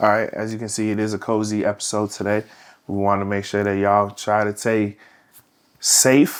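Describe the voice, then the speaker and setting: Monotone, flat delivery at a moderate pace, on a very clean recording with a silent background. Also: man, fairly low pitch for a man. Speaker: podcast co-host. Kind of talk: casual chat. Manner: sleepy, low energy.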